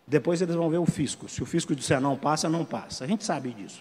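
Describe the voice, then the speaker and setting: This man speaks with a high pitch. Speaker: legal expert panelist. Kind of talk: conference panel talk. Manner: halting, repeated filler words.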